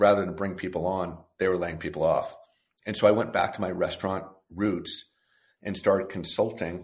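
Very deep and low in pitch, a man talks with an American accent. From California. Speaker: restaurant chain executive. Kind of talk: interview.

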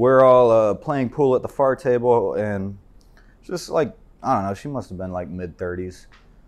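An unremarkable speaking voice, its intonation lively. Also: man. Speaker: soldier. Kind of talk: casual chat. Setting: studio.

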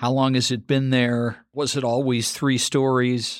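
A man with a plain, everyday voice speaks fairly slowly in a medium pitch on a very clean recording with a silent background. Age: 50s. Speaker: podcast host and architect. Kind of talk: interview.

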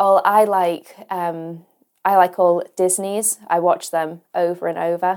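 In a Lancashire accent, a woman with a fairly low pitch speaks very slowly in a monotone, flat intonation. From northwest England, Ormskirk in Lancashire. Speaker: online school science teacher. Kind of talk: casual interview. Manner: hesitant, many fillers.

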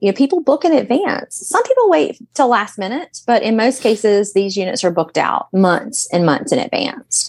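A woman speaks in a high voice. Her pitch swings very widely. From US South, Alabama Gulf Coast. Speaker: realtor. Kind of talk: casual chat.

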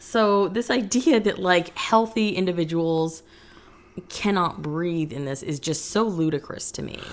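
This woman has an ordinary speaking voice with a fairly low pitch. She talks at a fairly slow pace with lively intonation. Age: 30s. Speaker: podcast co-host. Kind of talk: casual chat.

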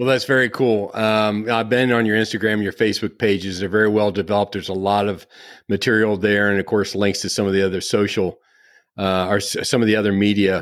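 A man talking very fast at a fairly low pitch, monotone and flat, on a very clean recording with a silent background. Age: 60s. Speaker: podcast host. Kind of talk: interview conversation; scripted introduction.

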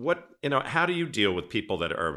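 Using a bright, sharp tone with vocal fry, a man with an American accent speaks with very wide pitch swings. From Cape Cod, Massachusetts, New England. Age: 60s. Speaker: podcast host, former event planner. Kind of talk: casual interview chat. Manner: animated, enthusiastic.

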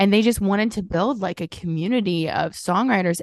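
Talking at a fairly quick pace, a woman with an American accent shows vocal fry and ordinary pitch variation against a quiet background. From Southern Illinois. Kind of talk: casual interview chat.

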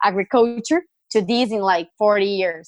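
A woman with a Brazilian accent, fairly high pitch and ordinary pitch variation, at a moderate pace, in a dry, close sound with no echo. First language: Portuguese. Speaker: startup founder and CEO. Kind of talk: interview answers.

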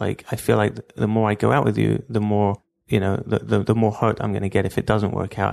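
A man with a London accent talks at a fairly quick pace with fairly even intonation. The background is quiet. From London, England (Stamford Hill). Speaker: entrepreneur, call center founder. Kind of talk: interview storytelling.

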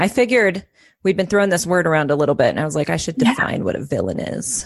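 Her voice sits fairly low for a woman, with vocal fry and lively intonation. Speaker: psychotherapist and life coach. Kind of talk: casual chat.

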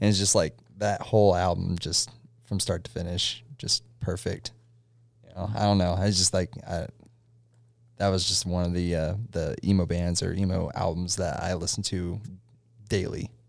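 A man's very deep, low voice at a moderate pace, with fairly even intonation and long, frequent pauses, in a very clean recording with a silent background. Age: 20s. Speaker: podcaster and music fan guest. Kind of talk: casual chat.

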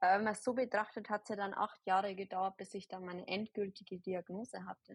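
In a dry, close sound with no echo and a quiet background, a woman speaks at medium pitch with a somewhat breathy, monotone, flat delivery. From Bavaria, near Ingolstadt. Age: 20s. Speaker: holistic health practitioner and nurse. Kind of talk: podcast interview. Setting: online recording.

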